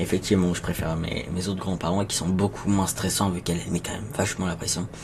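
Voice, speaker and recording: Soft-spoken, a man talks at a very fast pace with a very deep, low pitch. His intonation is fairly even, and noticeable background noise is present. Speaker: streamer. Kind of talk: live stream chat with viewers. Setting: home live stream. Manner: halting.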